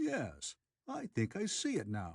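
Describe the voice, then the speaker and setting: Using a put-on character voice, a soft-spoken man talks in a dry, close sound with no echo. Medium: read story. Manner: hesitant, murmuring.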